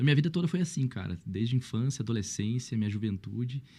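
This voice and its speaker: Over a silent background on a very clean recording, a man speaks at a very fast pace. His tone is dark and mellow, and his intonation is lively. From Brazil, São Paulo state (Mogi). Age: 30s. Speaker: pastor. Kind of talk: podcast interview, casual chat. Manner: animated.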